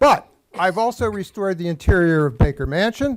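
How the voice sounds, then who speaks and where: A man with an American accent speaks in a high voice. His pace is fairly quick. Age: 70s. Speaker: public commenter, local artist. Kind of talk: public comment at council meeting. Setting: council chambers.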